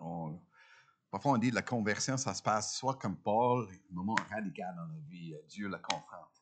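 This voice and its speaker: This man talks at a fairly slow pace with a fairly low pitch, ordinary pitch variation and big swings in loudness. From Ontario, Canada. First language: English (speaking French). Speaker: guest preacher. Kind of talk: sermon. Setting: church. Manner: halting, many hesitations.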